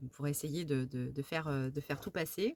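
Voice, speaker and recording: A woman talks at a moderate pace in a very deep, low voice. Her pitch varies in an ordinary way. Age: 50s. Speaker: crafts vlogger. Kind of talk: casual chat. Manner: halting, many fillers and repetitions.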